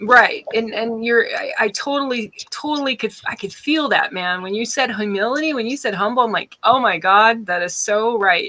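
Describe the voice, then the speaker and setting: At a moderate pace with hardly any pauses, an ordinary speaking voice carries lively intonation. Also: woman, fairly high pitch for a woman. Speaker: interviewer or host. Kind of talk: interview question.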